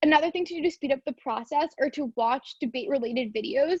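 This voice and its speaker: A woman speaks at a very fast clip in a high voice with a Canadian accent. The sound is dry and close, with no echo. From Canada. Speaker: university debater giving a workshop. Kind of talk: online seminar lecture.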